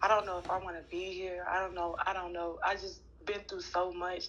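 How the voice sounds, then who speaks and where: A woman's medium-pitched voice at a moderate pace, with audible room echo. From Florida, Orlando. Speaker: interviewee, ex-girlfriend. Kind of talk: interview testimony.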